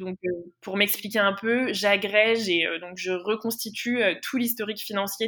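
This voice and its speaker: In a normal speaking voice, a woman talks at a moderate pace. Her medium pitch stays fairly even in intonation. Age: 20s. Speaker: intern and master's student. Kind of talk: interview.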